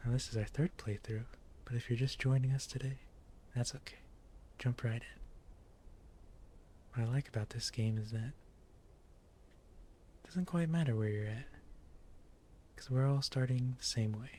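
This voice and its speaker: Soft-spoken and calm, a man talks with fairly even intonation and a somewhat breathy voice, leaving long, frequent pauses. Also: medium pitch for a man, moderate pace, big swings in loudness. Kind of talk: ASMR gaming longplay commentary. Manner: soft-spoken, calm.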